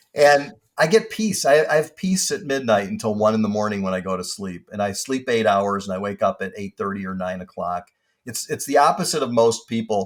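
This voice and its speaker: On a very clean recording with a silent background, a man with an unremarkable speaking voice talks at a fairly quick pace, his medium pitch carrying lively intonation. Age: 60s. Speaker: industrial real estate broker. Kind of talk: casual interview chat.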